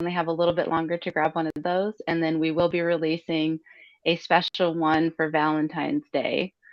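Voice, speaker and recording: A woman in an American accent, with an ordinary speaking voice, fairly low pitch and moderate pace. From Utah, US. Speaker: crypto artist. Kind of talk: interview.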